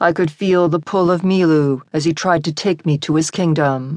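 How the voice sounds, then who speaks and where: A woman with a plain, everyday voice speaks at a fairly low pitch. She goes at a fairly slow pace with fairly even intonation. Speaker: audiobook narrator. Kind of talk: dramatic audiobook narration, first-person historical fiction. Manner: vivid, intense, building tension in the surf scenes; lyrical and tender in the love scene.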